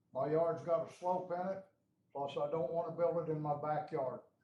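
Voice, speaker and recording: A loud man's voice, high-pitched, flat and monotone, at a moderate pace. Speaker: resident at public meeting. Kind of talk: public comment.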